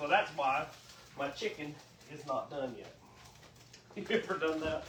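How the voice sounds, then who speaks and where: Over noticeable background noise, a man talks at a moderate pace and fairly high pitch, with ordinary pitch variation and big swings in loudness. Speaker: cooking show host. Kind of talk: casual cooking livestream chat. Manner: chatty, folksy.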